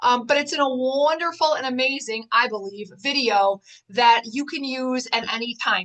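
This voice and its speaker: A woman's high voice with an animated tone and ordinary pitch variation. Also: moderate pace. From Wisconsin. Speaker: life and divorce coach. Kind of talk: online masterclass.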